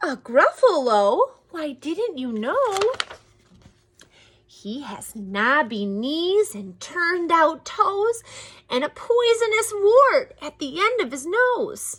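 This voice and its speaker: A woman speaks very slowly in a put-on character voice. Her pitch is extremely high and swings very widely. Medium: read story.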